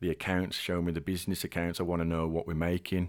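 Very fast, flat, monotone delivery from a man with a very deep, low pitch, on a very clean recording with a silent background. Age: 30s. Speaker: sales director. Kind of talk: casual interview.

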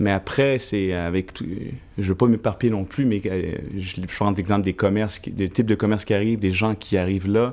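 A man with an unremarkable speaking voice talks at a fairly quick pace, his fairly low pitch kept to fairly even intonation. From Montreal, Quebec (Plateau Mont-Royal). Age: 30s. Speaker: photographer and journalist. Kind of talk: podcast panel discussion.

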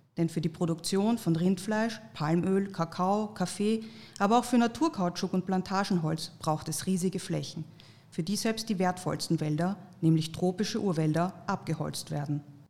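A somewhat breathy, dark and mellow woman's voice at medium pitch with ordinary pitch variation. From Austria. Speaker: podcast host. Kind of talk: scripted narration.

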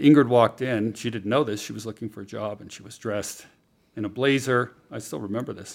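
A normal speaking voice from a man with an American accent, medium pitch, fairly even intonation, a fairly quick pace and big swings in loudness. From California, near San Francisco. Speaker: writer and former art gallery owner. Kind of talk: casual interview chat.

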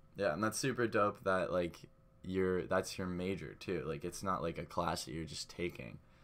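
A man with a very deep, low pitch and vocal fry talks at a moderate pace with ordinary pitch variation. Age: young. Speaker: podcast co-host, college student. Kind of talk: casual chat.

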